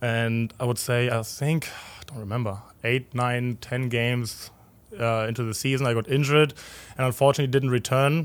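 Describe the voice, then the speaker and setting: In a German accent, a man talks at a moderate pace. His pitch is medium and his intonation fairly even. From Germany, Berlin. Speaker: professional soccer goalkeeper. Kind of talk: casual interview chat. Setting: studio overlooking the stadium.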